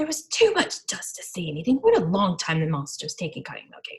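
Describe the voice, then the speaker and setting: In a put-on character voice, a female-sounding speaker growls at a fairly high pitch and a very fast pace. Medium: read story. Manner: lazy, yawning.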